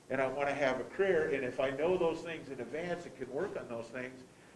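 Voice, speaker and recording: Talking at a fairly quick pace with a fairly high pitch and ordinary pitch variation, a man swings greatly in loudness amid noticeable background noise and audible room echo. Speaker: school board member. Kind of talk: board meeting discussion. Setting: boardroom meeting, also streamed online. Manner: halting, with many repeated words.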